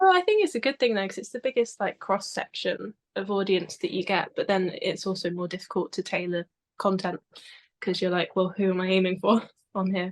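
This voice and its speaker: Over a quiet background, a woman speaks with fairly even intonation. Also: medium pitch for a woman, fairly quick pace, dry, close sound with no echo. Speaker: history content creator. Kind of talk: casual interview chat. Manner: quiet, soft-spoken; calm, relaxed.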